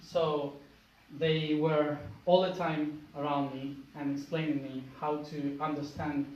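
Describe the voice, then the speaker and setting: With an Argentine accent and a fairly high pitch, a man speaks in a monotone, flat way at a fairly slow pace, with audible room echo. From Argentina. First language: Spanish. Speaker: spiritual speaker. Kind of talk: public talk. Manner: halting.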